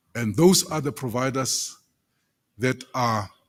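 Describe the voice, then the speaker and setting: The recording is very clean, with a silent background. The speaking pace is fairly slow. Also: man. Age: 60s. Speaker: government official. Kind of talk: presentation. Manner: halting.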